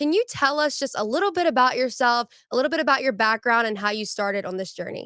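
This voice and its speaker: A woman speaks at a very fast pace in a high pitch, with a bright, sharp tone and lively intonation. Her delivery is animated, and the sound is dry and close with no echo. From Louisiana. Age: 20s. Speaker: podcast host. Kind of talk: interview.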